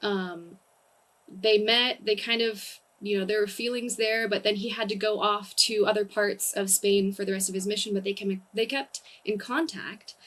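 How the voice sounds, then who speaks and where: Speaking with a Californian accent, a woman uses a medium pitch, a moderate pace and fairly even intonation. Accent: Californian American English. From US, Southern California. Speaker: comedian. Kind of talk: casual chat.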